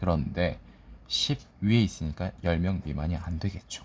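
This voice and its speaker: A somewhat breathy man's voice at a moderate pace. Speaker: exam prep tutor. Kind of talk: lecture. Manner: sleepy, dull.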